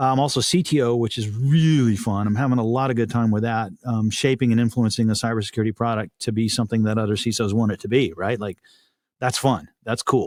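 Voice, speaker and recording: In a slight Texan accent, a man with a medium pitch talks at a very fast pace with ordinary pitch variation, on a very clean recording with a silent background. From Texas. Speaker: cybersecurity executive and podcast host. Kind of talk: podcast interview.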